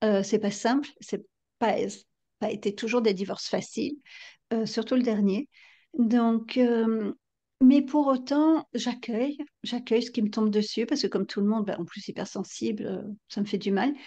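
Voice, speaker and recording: A woman speaks fairly slowly in a somewhat breathy, dark, mellow tone at fairly high pitch with ordinary pitch variation. She takes long, frequent pauses against a quiet background. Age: 50s. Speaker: novelist and psychotherapist. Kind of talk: interview.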